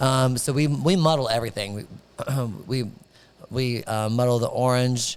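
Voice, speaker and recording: With long, frequent pauses, a man speaks at a medium pitch and with fairly even intonation. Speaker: bar owner. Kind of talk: casual chat. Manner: fast.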